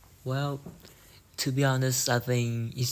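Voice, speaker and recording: In a Vietnamese accent, a man is speaking. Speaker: English learner. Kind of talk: speaking test practice. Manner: halting.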